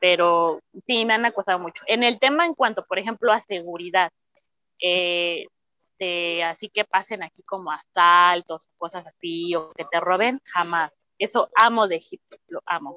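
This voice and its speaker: This is a plain, everyday voice. A woman speaks at a fairly slow pace and a fairly low pitch, with ordinary pitch variation. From Mexico. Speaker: belly dancer. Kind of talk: interview.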